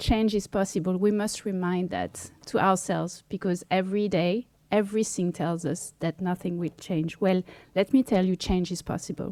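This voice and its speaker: A woman, medium-pitched and fairly slow, in a dry, close sound with no echo. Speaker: activist. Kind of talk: speech at press conference. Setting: press conference. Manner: reading from text.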